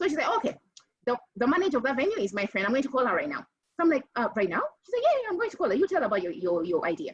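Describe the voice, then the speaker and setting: With a high pitch and very wide pitch swings, a woman talks at a very fast pace. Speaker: panelist. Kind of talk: panel discussion.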